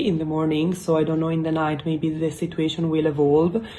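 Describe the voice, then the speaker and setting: This voice carries an Italian accent. Its intonation is monotone and flat. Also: woman. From Italy. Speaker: YouTuber. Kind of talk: casual explainer vlog. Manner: halting, many fillers.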